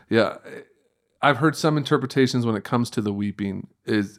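Recorded very cleanly against a silent background, a man speaks in a plain, everyday voice at a medium pitch with ordinary pitch variation. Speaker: pastor. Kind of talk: casual conversational interview.

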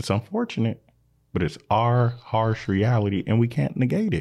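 A man talks in an American accent at a medium pitch. His voice is somewhat breathy, and his pace is moderate. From Minnesota, Saint Paul. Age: 30s. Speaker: community organizer. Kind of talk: casual chat.

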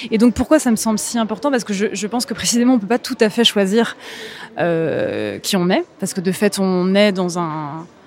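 A woman speaks at a moderate pace with a medium pitch and lively intonation. Noticeable background noise runs underneath. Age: 30s. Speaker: writer and musician. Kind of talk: interview. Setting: live event at a contemporary art museum. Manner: hesitant, many repetitions and fillers.

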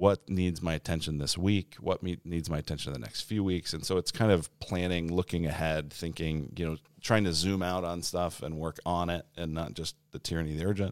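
A man with an American accent speaks at a fairly quick pace with hardly any pauses, his very deep, low voice keeping fairly even intonation, in a very clean recording with a silent background and a dry, close sound with no echo. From Colorado. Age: 40s. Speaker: pastor. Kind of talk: casual chat.

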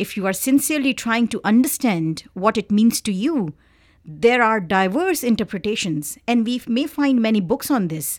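On a very clean recording with a silent background, a woman speaks at a fairly high pitch and a moderate pace, her voice making very wide pitch swings. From Pakistan (Karachi). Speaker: PhD candidate in art history. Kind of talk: interview. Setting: studio.

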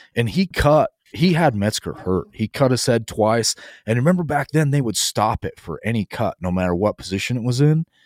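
Over a very clean recording with a silent background, a man with an ordinary speaking voice talks at a fairly quick pace in a medium pitch, his intonation lively. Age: 30s. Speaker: podcast host, rancher. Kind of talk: casual chat.

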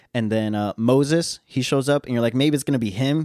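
The man speaks fairly quickly with a western US accent at a medium pitch. The sound is dry and close with no echo, in a very clean recording over a silent background. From western United States. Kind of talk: solo teaching monologue. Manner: animated, casual, with frequent laughs and fillers.

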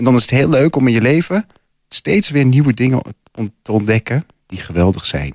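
Here is a man with a medium-pitched voice at a moderate pace. The recording is very clean with a silent background, dry and close with no echo. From Losser, Twente, Netherlands. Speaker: poet and piano teacher. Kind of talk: radio interview. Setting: studio.

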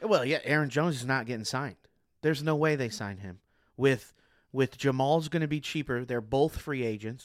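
At a fairly quick pace, a man with a normal speaking voice talks in a medium pitch that varies in an ordinary way. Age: 30s. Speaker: sports fan co-panelist. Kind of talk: casual sports chat.

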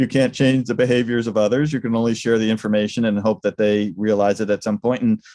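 A man with an American accent and a plain, everyday voice speaks at medium pitch with fairly even intonation on a very clean recording with a silent background. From New York State, US. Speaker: leadership coach. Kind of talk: casual interview.

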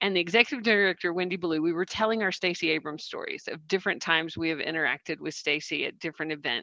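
With a Southern US accent, a woman speaks very fast with hardly any pauses in a bright, sharp, fairly low voice, the sound dry and close with no echo over a quiet background. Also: ordinary pitch variation. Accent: Southern American. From US South. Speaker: coach and social worker. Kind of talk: casual book discussion. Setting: video call. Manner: animated.

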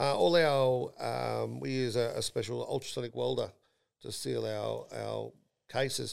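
On a very clean recording with a silent background, a man speaks in an Australian accent. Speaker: podcast host and company CEO. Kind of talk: casual chat. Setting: studio.

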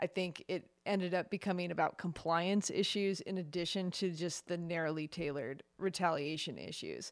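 A woman with a normal speaking voice and fairly low pitch talks at a moderate pace with hardly any pauses and fairly even intonation, on a very clean recording with a silent background. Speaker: co-host and guest. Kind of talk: casual chat about news.

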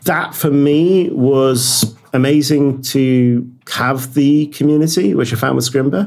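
A man with a British accent, fairly high in pitch, at a very slow pace with ordinary pitch variation and hardly any pauses. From Britain. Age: 40s. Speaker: software developer. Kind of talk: casual interview.

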